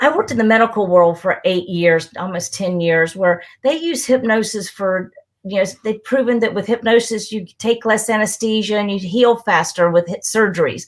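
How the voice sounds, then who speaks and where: With a plain, everyday voice, a woman speaks at a moderate pace and fairly high pitch, with hardly any pauses. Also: ordinary pitch variation. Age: 60s. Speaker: hypnotist. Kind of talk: interview on live broadcast.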